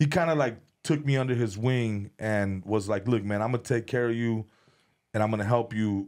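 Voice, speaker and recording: With ordinary pitch variation, an ordinary speaking voice moves along at a fairly quick pace. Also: man, medium pitch for a man. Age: 30s. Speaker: comedian and former rapper.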